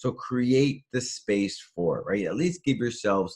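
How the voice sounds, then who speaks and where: A man speaks at a medium pitch in an animated tone, somewhat breathy, with lively intonation. The recording is very clean with a silent background. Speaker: motivational speaker. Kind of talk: motivational talk. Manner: fast.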